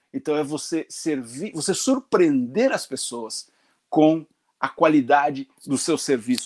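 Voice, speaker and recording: Speaking with lively intonation at a fairly slow pace, a man has a normal speaking voice. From Brazil, northern Paraná (Londrina). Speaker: pastor. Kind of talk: sermon.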